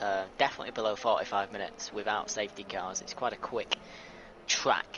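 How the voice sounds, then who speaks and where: A man has a British accent. He speaks at a moderate pace. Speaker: sim racing co-commentator. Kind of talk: live commentary. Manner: talking quietly.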